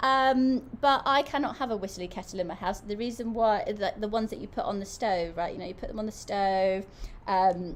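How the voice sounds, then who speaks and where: A woman with an English accent, fairly high in pitch, with lively intonation and a fairly quick pace. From England. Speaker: product reviewer on a livestream. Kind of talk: live product review stream. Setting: live stream. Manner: animated.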